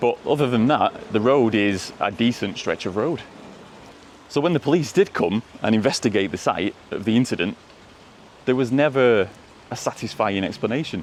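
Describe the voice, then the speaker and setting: Over noticeable background noise, a man talks at a medium pitch and moderate pace with lively intonation. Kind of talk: folklore storytelling while walking. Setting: outdoors. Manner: casual, chatty.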